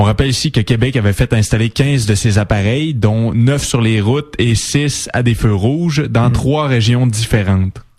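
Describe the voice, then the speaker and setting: At a moderate pace and a medium pitch, a man speaks with very even loudness amid noticeable background noise. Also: ordinary pitch variation, hardly any pauses. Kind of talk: French news-style reading.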